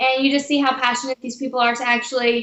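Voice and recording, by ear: With an American accent, a woman speaks at a fairly quick pace. Her voice is fairly high in pitch and fairly bright in tone.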